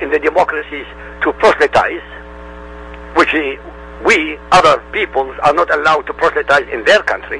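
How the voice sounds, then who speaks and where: Talking fairly quickly, a man is heard through noticeable background noise. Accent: Arabic. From Middle East. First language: Arabic. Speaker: independent religion researcher. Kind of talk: interview.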